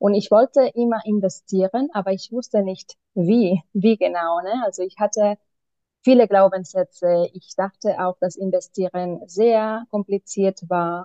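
A woman with a medium pitch speaks at a fairly slow pace, keeping her intonation fairly even. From Spain, Barcelona. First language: Spanish or Catalan (speaking German). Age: 30s. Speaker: mentoring client, single mother. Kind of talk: interview answers. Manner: halting, many fillers.

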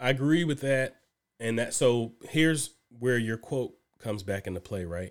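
A man with a normal speaking voice talks at a moderate pace in a medium pitch, his intonation lively, on a very clean recording with a silent background. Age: 30s. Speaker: podcast co-host. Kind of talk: casual chat.

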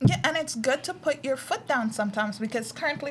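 At a very fast pace, a woman speaks with a fairly high, somewhat breathy voice and ordinary pitch variation. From Guyana. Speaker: podcast co-host. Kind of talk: casual chat.

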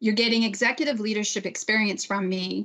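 At a fairly high pitch and with fairly even intonation, a woman talks in an ordinary speaking voice. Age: 50s. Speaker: bank manager. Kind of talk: panel discussion.

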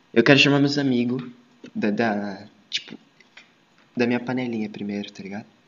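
At a fairly quick pace, a man of medium pitch talks with fairly even intonation, big swings in loudness, and long, frequent pauses. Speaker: podcast host. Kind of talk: casual chat.

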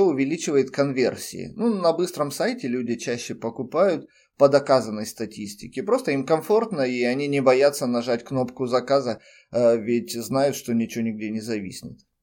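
In a very clean recording with a silent background, a man with an ordinary speaking voice talks at medium pitch and a moderate pace, his intonation lively. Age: 30s. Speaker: podcaster and freelance web specialist. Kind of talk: personal monologue.

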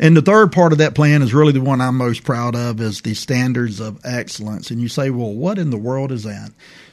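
A man with a medium-pitched voice talks at a fairly quick pace with ordinary pitch variation and hardly any pauses. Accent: Alabama. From Prichard, Alabama. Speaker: police chief. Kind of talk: radio interview.

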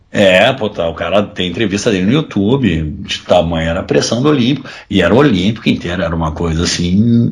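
Somewhat breathy, fairly quick speech with hardly any pauses and lively intonation. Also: man, fairly low pitch for a man. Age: 30s. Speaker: football fan. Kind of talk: casual chat.

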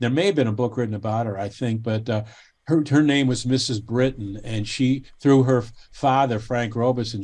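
A man talks at a moderate pace with a medium pitch and fairly even intonation. The background is quiet. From Cleveland, Ohio, US. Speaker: baseball history author. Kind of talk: casual interview chat. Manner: halting, frequent repetitions.

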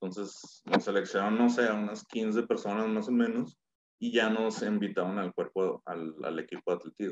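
A man with a Mexican accent at a moderate pace, in a dry, close sound with no echo. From Mexico, Torreón. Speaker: business consultant and former athlete. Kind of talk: casual interview.

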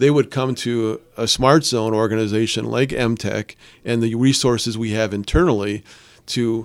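A man speaks at a moderate pace in a medium pitch with monotone, flat intonation, recorded very cleanly against a silent background. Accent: Upper Peninsula Michigan. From Upper Peninsula of Michigan, Calumet. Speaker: startup support organization CEO. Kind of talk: radio interview. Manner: hesitant, many repeated words and fillers.

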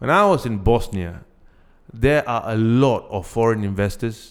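A man is speaking. He has a Singaporean accent. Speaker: podcast co-host. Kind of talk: casual chat.

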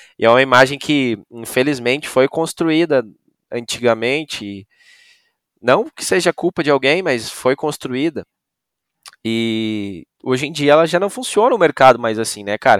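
A man with a normal speaking voice at medium pitch, lively intonation and a fairly slow pace, in a dry, close sound with no echo. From Brazil, Rio Grande do Sul (Novo Hamburgo). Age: 20s. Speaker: music show production manager. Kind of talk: podcast interview.

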